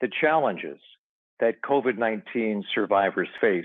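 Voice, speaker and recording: At a moderate pace and with ordinary pitch variation, a man speaks in a normal speaking voice. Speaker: event emcee, radio personality. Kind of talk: live event hosting.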